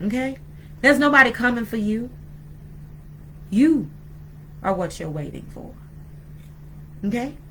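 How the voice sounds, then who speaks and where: With lively intonation and a fairly high pitch, a woman speaks at a moderate pace but leaves long, frequent pauses, and room echo is audible. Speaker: spiritual teacher, video blogger. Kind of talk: sermon-style talk. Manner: halting.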